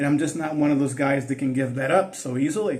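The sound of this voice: A man speaks at a medium pitch with a slightly mellow tone. His intonation stays fairly even.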